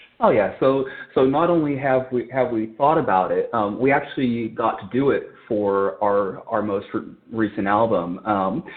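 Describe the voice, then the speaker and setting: A man with an American accent talks at a moderate pace. His pitch is medium, with ordinary pitch variation. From California. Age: 40s. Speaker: rock band drummer. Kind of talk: podcast interview. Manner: halting, frequent repetitions and fillers.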